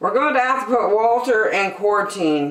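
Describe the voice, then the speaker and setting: A woman puts on a character voice, pitched fairly high and delivered at a moderate pace. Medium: read story.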